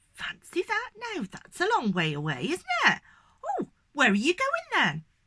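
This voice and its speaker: Loud and high-pitched, a woman performs a put-on character voice. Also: moderate pace. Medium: read story. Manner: loud, chatty.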